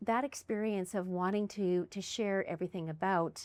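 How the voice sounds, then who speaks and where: A woman's medium-pitched voice in a Canadian Prairie accent, at a moderate pace. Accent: Canadian English (Prairies). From Canada, Winnipeg, Manitoba. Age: 60s. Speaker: podcast host. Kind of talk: casual interview chat.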